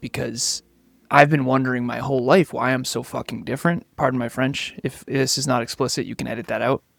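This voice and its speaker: Speaking at a fairly quick pace with an American accent, a man uses a medium pitch, vocal fry and fairly even intonation, recorded with a dry, close sound and no echo. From Massachusetts, US. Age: 30s. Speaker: business coach and CEO. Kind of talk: podcast interview. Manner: fast.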